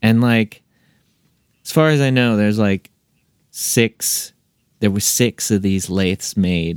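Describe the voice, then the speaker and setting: In a dry, close sound with no echo, a man talks at a very slow pace with long, frequent pauses. His fairly low pitch shows ordinary pitch variation, and his loudness stays very even. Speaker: musician and record label owner. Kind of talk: casual interview chat.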